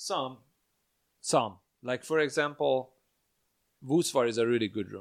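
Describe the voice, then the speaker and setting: Fairly slow, with long, frequent pauses, a man speaks at medium pitch with ordinary pitch variation. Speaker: comedian and podcast host. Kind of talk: casual chat. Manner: talkative.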